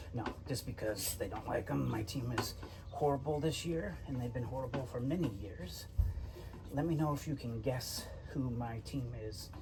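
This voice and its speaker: A soft-spoken man at a moderate pace, medium in pitch with ordinary variation, amid audible room echo and noticeable background noise. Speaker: vintage VW mechanic youtuber. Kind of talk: workshop tutorial vlog. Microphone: no mic on, camera audio.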